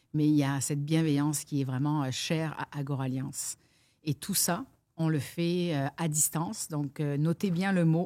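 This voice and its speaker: Very deep and low, a woman's voice has a dark, mellow tone with fairly even intonation. The recording is very clean, the background silent. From France. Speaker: business coach. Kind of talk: interview.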